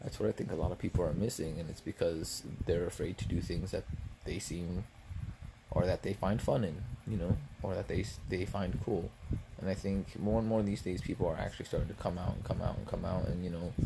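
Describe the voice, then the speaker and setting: A soft-spoken man has a dark, mellow tone and a fairly quick pace. Noticeable background noise runs behind him. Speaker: ASMR vlogger. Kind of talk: ASMR eating video with casual rant. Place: home room. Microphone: phone near.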